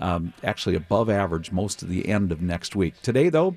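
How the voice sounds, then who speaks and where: Speaking at a fairly quick pace with lively intonation, a man with an American accent has a plain, everyday voice. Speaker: TV weather forecaster. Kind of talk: weather report. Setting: remote link from weather center.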